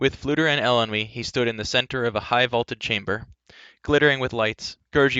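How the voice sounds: Against a quiet background, this is a natural reading voice with ordinary pitch variation.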